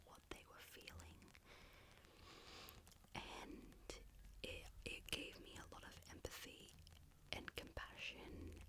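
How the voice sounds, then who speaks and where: Someone is whispering. The pace is fairly slow. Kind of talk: ASMR whisper ramble about favourite books. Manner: whispered, soft-spoken, rambling.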